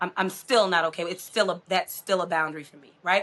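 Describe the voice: A woman speaks in a put-on character voice, hoarse and at a medium pitch. Her pace is fairly quick, her intonation fairly even, and her loudness swings widely.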